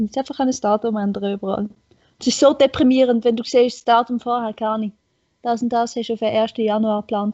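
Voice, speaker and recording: A woman speaks fairly quickly at a fairly high pitch with fairly even intonation. Her loudness swings widely, and it is an unremarkable speaking voice. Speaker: podcast guest. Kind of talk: casual chat.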